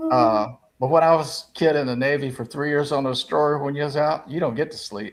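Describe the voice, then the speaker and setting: A man with a South Carolina accent talks at a fairly quick pace. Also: fairly high pitch for a man, fairly even intonation. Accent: Southern US (South Carolina). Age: 70s. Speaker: sports talk panelist. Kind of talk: casual chat.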